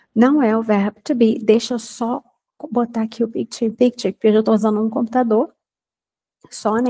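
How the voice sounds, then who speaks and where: Dry and close with no echo, a woman's fairly high, somewhat breathy voice carries a dark, mellow tone, fairly even intonation and a fairly quick pace. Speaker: English teacher. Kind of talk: lecture. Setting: recorded online class.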